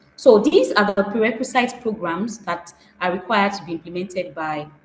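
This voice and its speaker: A woman's medium-pitched voice with ordinary pitch variation, over noticeable background noise. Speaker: food safety trainer. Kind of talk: webinar presentation. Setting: video call with screen share. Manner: fast; hesitant with fillers.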